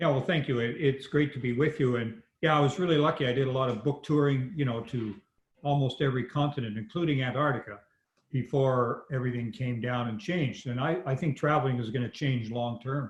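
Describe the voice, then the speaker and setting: A man's medium-pitched, somewhat breathy voice with a Canadian prairie accent, a fairly quick pace and ordinary pitch variation. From Canadian prairies (Saskatchewan). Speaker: medical doctor and author. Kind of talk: podcast interview.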